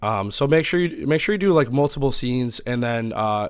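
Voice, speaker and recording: This man speaks with ordinary pitch variation. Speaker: streamer. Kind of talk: tutorial. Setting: home. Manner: loud; hesitant, many fillers.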